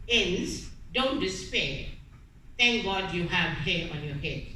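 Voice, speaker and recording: A woman's medium-pitched voice at a moderate pace, with audible room echo and noticeable background noise. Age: 70s. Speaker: cancer survivor. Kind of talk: testimony.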